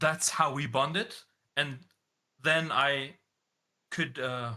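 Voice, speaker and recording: This man has a bright, sharp tone and a fairly high pitch, talking at a very slow pace with fairly even intonation. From Germany. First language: German. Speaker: online game community leader. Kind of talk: interview. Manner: casual, hesitant with fillers.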